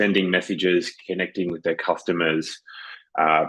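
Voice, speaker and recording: Speaking at a fairly quick pace, a man has a very deep, low pitch, fairly even intonation and a slight Australian accent. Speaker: business consultant and webinar co-host. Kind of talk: webinar presentation. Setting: virtual online webinar.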